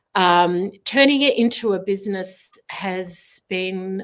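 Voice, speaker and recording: A woman with an Australian accent speaks at a medium pitch. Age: 60s. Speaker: artist. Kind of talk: interview. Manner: hesitant, many filler words.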